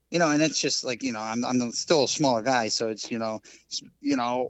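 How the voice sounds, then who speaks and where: With an American accent, this man has an unremarkable speaking voice, medium in pitch, delivered at a fairly quick pace with fairly even intonation. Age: 40s. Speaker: fly tyer and dubbing maker. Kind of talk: casual chat.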